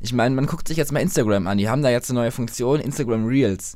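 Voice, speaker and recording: Pitched in a middle register, a man's voice shows ordinary pitch variation. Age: young (18). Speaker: new podcast co-host. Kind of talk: casual chat.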